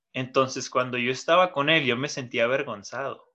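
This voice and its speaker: With a Mexican accent, a man talks at a moderate pace and medium pitch in a bright, sharp tone, his intonation fairly even against a quiet background. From Mexico. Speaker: podcast co-host. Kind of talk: casual chat.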